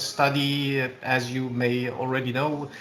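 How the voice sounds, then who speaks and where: With a Romanian accent, a man talks at a very slow pace and medium pitch, with audible room echo around him. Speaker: public authority official. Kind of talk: webinar question. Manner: halting.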